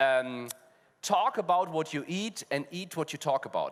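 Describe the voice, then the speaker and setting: A man speaks with a German accent at a moderate pace. His intonation is lively. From Germany. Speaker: fintech panelist. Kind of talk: panel discussion. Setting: stage with audience.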